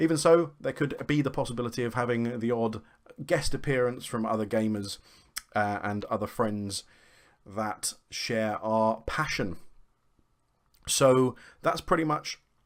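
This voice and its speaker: Speaking in a British accent, a man uses a medium pitch and a fairly slow pace, with long, frequent pauses. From UK. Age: 40s. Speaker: gaming vlogger. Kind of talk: casual vlog intro.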